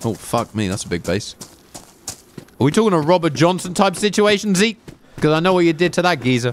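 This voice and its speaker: Amid noticeable background noise, a high-pitched man talks at a fairly quick pace with lively intonation and long, frequent pauses. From southern England. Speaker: gaming streamer. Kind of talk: live gameplay stream chat. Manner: animated.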